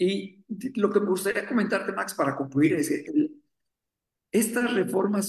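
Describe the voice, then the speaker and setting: Speaking at a fairly slow pace, a man has a high pitch. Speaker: economist, academic director. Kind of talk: radio interview.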